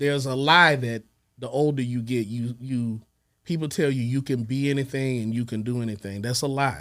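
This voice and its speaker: A man talks at a moderate pace in an American accent. It is a normal speaking voice, medium in pitch, with fairly even intonation. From Texas, by way of Little Rock Arkansas. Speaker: music producer. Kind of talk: interview conversation. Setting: studio.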